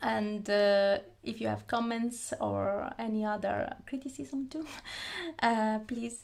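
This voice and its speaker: A woman with an Italian accent, fairly high pitch, ordinary pitch variation and a very slow pace. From Italy. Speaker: YouTuber, anime fan. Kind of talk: casual talk to camera. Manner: halting, many fillers.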